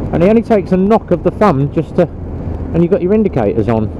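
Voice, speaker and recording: A man with a high pitch speaks at a fairly quick pace, the sound dry with no echo but with noticeable background noise. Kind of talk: casual vlog chat. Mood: relaxed, chatty. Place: motorbike. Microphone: helmet.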